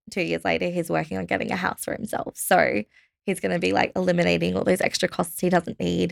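Speaking at a fairly quick pace with an Australian accent, the voice comes across dry and close, with no echo. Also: woman. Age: 20s. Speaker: budgeting company staff member. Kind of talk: interview.

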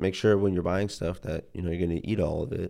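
A man with an Ohio accent speaks fairly quickly in a very deep, low pitch, his tone dark and mellow and his intonation fairly even. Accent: Midwestern American (Ohio). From Ohio, Youngstown. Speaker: university student. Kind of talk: casual interview.

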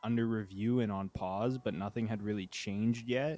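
A man with a Canadian accent has a normal speaking voice, medium in pitch with ordinary variation. He talks at a moderate pace on a very clean recording with a silent background. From Ontario, Canada (Uxbridge, near Toronto). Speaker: journalist and documentary filmmaker. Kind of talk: casual chat.

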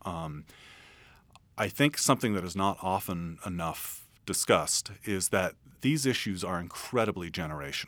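In a very clean recording with a silent background, a man with an American accent and a very deep, low voice speaks at a moderate pace with lively intonation. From San Francisco. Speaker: futurist and author. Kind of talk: interview. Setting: radio studio.

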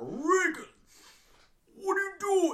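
The speaker uses a put-on character voice. Its pitch is extremely high. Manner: menacing, possessed.

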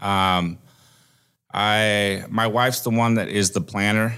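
A man with a Midwestern American accent and a fairly low pitch, on a very clean recording with a silent background. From Iowa, US Midwest. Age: 40s. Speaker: trucking company recruiter, former truck driver. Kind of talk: casual interview.

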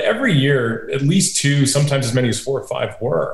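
A man with an American accent and fairly even intonation, with audible room echo and noticeable background noise. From upstate New York. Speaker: venture capitalist. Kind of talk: interview.

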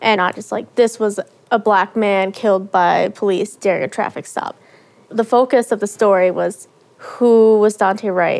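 A woman talks at a fairly slow pace with fairly even intonation at a medium pitch, in a normal speaking voice. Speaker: young reporter. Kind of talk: interview reflection.

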